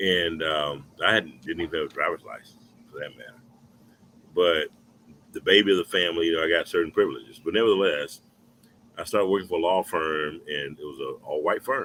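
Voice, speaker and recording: This is a man speaking. His pace is fairly quick. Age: 50s. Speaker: talk show co-host. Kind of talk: casual discussion.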